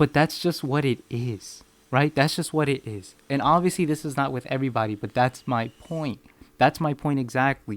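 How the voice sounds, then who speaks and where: With a Spanish accent, a man speaks at a moderate pace in a fairly high pitch with ordinary pitch variation, the sound dry and close with no echo. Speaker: podcast host. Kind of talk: solo podcast monologue. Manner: casual, with repetitions and false starts.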